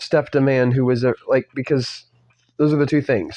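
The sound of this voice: In an unforced reading voice with fairly even intonation, the speaker reads over a quiet background.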